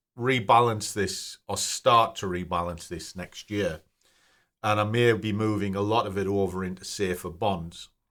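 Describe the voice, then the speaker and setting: Recorded very cleanly with a silent background, a man with a British accent speaks at a moderate pace and a fairly low pitch. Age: 50s. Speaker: personal finance YouTuber. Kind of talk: casual screen-share tutorial. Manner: casual, conversational.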